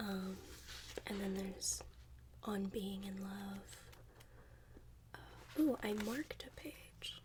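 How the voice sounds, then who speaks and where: Whispering at a very slow pace, a soft-spoken woman uses a gentle tone, leaves long, frequent pauses, and swings widely in loudness. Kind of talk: casual commentary about the book. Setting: close-mic ASMR recording. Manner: soft-spoken, gentle, whispery.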